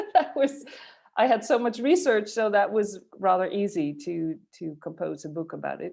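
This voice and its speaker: A woman with a Dutch accent talks at a moderate pace and a medium pitch, with very wide pitch swings and big swings in loudness. The recording is very clean, with a silent background. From Netherlands, Friesland. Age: 40s. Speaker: futurist and author. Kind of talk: interview. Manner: halting, many fillers.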